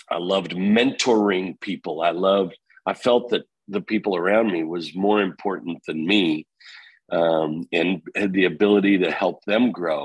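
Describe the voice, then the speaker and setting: The man has a plain, everyday voice at a fairly low pitch with ordinary pitch variation. He speaks at a fairly slow pace, and the sound is dry and close with no echo. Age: 50s. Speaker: real estate company founder. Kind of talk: interview.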